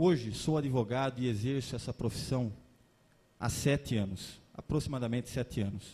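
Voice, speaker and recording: A man speaks at a moderate pace with medium pitch, ordinary pitch variation, and a somewhat breathy, dark, mellow tone. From Limeira, São Paulo state, Brazil. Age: 30s. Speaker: lawyer and candidate. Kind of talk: political debate speech. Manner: formal.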